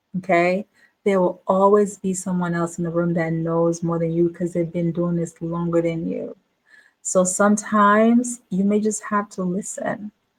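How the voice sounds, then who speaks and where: At a moderate pace, a woman speaks in a fairly low, somewhat breathy voice with fairly even intonation. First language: not English, a home language. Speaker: business coach. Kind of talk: casual monologue to camera. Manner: repetitive, filler-heavy.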